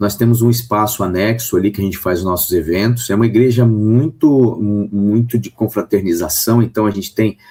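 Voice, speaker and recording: A man speaks with a fairly low pitch. His pace is moderate and his pitch variation ordinary. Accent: São Paulo. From Brazil, São Paulo. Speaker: pastor. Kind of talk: radio interview.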